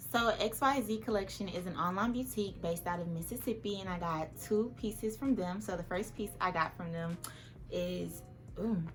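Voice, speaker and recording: Lively intonation and vocal fry mark this voice, which carries audible room echo. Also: woman, medium pitch for a woman. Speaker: fashion and lifestyle youtuber. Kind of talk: try-on haul vlog. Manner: animated; fast.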